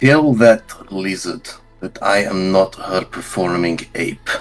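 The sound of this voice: A man puts on a character voice that is gravelly and very deep, speaking at a fairly slow pace. Faint music plays in the background.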